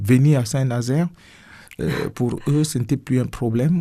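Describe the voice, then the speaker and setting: A man speaks at a medium pitch with ordinary pitch variation and a somewhat breathy quality, on a very clean recording with a silent background. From Cameroon. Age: 60s. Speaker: pastor. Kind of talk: radio interview. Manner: hesitant, many fillers.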